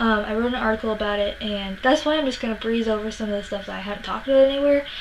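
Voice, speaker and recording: The voice moves at a very fast pace with ordinary pitch variation. Noticeable background noise can be heard. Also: woman, fairly high pitch for a woman. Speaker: music vlogger. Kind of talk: casual vlog monologue. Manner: hesitant, many fillers.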